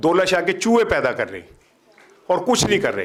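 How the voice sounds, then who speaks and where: This man speaks at a moderate pace. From Pakistan. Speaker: senior journalist. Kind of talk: speech at a university event. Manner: animated.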